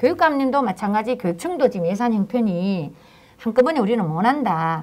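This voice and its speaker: A woman with a strong Daegu accent, medium in pitch, with very wide pitch swings. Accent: strong Daegu Gyeongsang dialect. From South Korea, Daegu. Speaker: local politician, former city council chair. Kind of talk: panel talk show discussion. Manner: halting, with many fillers.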